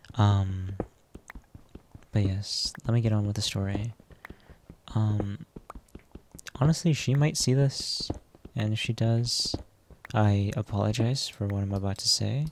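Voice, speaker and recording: Soft-spoken and at a fairly slow pace, the voice leaves long, frequent pauses over noticeable background noise. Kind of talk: personal storytime vlog. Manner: quiet, soft-spoken; hesitant, many fillers.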